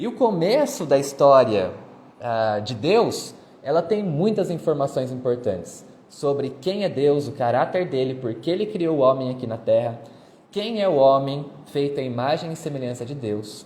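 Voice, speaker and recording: A man's somewhat breathy, dark and mellow voice, fairly high in pitch, moves with lively intonation at a moderate pace. Audible room echo surrounds it. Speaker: history teacher. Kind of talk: lecture. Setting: live stream.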